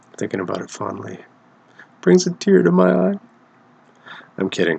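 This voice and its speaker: Soft-spoken yet with big swings in loudness, a man talks at a moderate pace. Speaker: podcast host. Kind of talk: casual podcast monologue. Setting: shared living space. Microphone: close to cheap mic.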